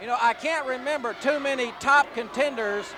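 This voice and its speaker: Against noticeable background noise, a man in a raised, projected voice at an extremely high pitch speaks at a moderate pace with ordinary pitch variation. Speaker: wrestling play-by-play announcer. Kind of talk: wrestling TV play-by-play commentary.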